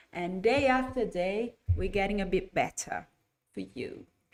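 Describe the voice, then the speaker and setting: A woman's medium-pitched voice with vocal fry, very slow delivery and lively intonation. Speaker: English teacher trainer. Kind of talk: live online lesson. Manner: getting louder as voice warms up.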